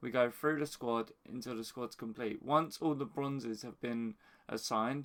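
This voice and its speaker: A quiet man's voice at a medium pitch, ordinary pitch variation, moderate pace, on a very clean recording with a silent background. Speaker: FIFA gaming YouTuber. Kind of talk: casual explanation to camera. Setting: at home early morning, others asleep. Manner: quiet, hushed.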